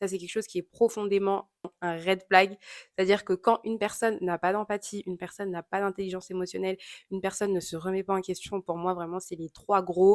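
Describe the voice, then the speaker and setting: A woman with a medium pitch speaks at a fairly quick pace in a monotone, flat intonation. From Congolese heritage (both parents). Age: 20s. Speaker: YouTuber. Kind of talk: Q&A vlog, casual. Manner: casual, many filler hesitations.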